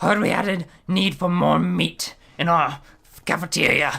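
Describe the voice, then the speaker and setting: In a put-on character voice at a middle pitch, the speaker moves at a moderate pace. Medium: actual play. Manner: terse, blunt.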